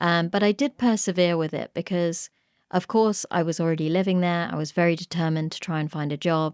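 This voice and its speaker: In a British accent, a woman with a fairly low pitch and fairly even intonation is heard on a very clean, silent-background recording with a dry, close sound and no echo. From England. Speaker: podcast host, pharmacist. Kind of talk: interview conversation.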